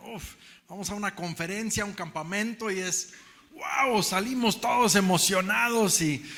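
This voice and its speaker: Over noticeable background noise, a man with a Mexican accent projects a raised voice in a high pitch, at a fairly slow pace with ordinary pitch variation. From Mexico. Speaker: preacher. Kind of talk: sermon. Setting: church.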